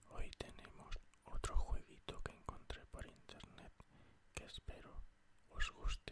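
Whispering comes from a man. Each word is very slow. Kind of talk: whispered ASMR gameplay commentary. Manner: whispered, soft.

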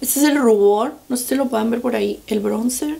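A woman's fairly high voice with vocal fry, a dark, mellow tone, ordinary pitch variation and a moderate pace

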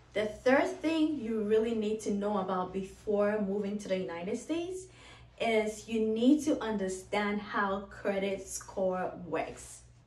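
A woman talks at a fairly slow pace, with audible room echo around her voice. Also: medium pitch for a woman, ordinary pitch variation. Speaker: YouTuber and international student. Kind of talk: tips video for viewers. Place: home room.

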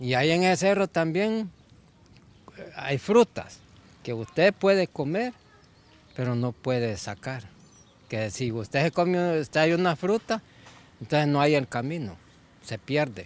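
A fairly high-pitched man's voice with very wide pitch swings, a fairly slow pace, long and frequent pauses, and a dry, close sound with no echo. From Honduras, El Negrito, Yoro. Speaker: local resident interviewed on the street. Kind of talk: street interview. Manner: halting, repeats words.

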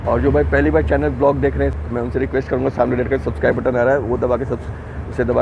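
A man rattles off his words very quickly, the sound dry and echo-free, with noticeable noise behind him. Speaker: travel vlogger. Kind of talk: casual vlog chat. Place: train. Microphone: earbuds.

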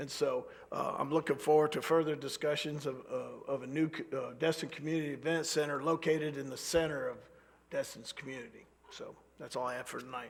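Noticeable background noise sits behind a man with a fairly high voice. He speaks at a fairly quick pace with fairly even intonation. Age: 60s. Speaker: mayor. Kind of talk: council meeting remarks. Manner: halting, many repeated words.

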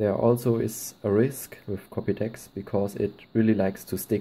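In a German accent, a man speaks at a fairly slow pace with a fairly low pitch, a dark, mellow tone and fairly even intonation. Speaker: slingshot hobbyist. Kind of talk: casual tutorial talk to camera.

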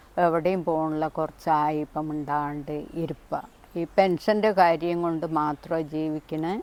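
Very deep, low pitch from a woman, delivered in a flat monotone. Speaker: elderly mother in need. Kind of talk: interview.

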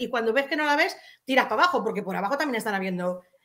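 Against a quiet background, a woman projects a raised voice with a bright, sharp tone and very wide pitch swings. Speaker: chat moderator. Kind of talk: casual chat. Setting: video call. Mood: indignant, complaining. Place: home room. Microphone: webcam.

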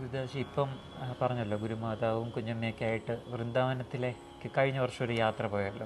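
Against noticeable background noise, a man talks at a medium pitch with ordinary pitch variation. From Kerala, India. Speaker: spiritual channel host. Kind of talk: interview. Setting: meditation centre. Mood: calm, respectful. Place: hall. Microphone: lapel.

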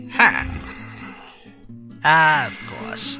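Over clear music in the background, a put-on character voice sits at a middle pitch. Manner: dry, amused, formal.

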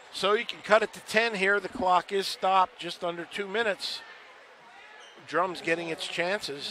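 A man speaks with an American accent and a high pitch. His intonation is fairly even, over noticeable background noise. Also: moderate pace. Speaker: color commentator, coach. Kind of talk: live sports commentary, analysis. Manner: measured, analytical, conversational.

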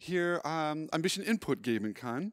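With an American accent, a man speaks in a fairly high pitch that swings very widely, against a quiet background. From California, USA. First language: English (speaking German). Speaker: preacher. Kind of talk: sermon. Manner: halting, many fillers. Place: church. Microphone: handheld.

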